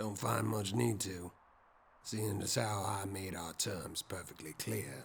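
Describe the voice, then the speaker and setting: Using a gruff, raspy put-on character voice, a man talks at a fairly slow pace with a fairly low pitch and ordinary pitch variation. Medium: audio drama. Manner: gruff, blunt, dry.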